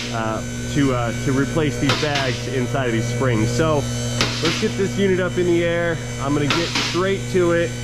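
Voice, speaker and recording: Heavy background noise runs under speech delivered at a moderate pace. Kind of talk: tutorial. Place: garage. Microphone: phone near.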